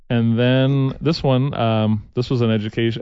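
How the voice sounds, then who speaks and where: Medium in pitch, a man talks with an American accent. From New York. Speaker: morning radio host. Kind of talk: casual chat. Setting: studio. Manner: animated.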